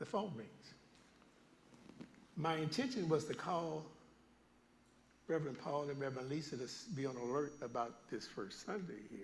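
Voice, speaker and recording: A man speaks at a moderate pace in a fairly high, somewhat breathy voice with lively intonation, leaving long, frequent pauses as room echo sounds around him. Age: 70s. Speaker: guest preacher. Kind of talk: sermon. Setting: church. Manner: animated storytelling.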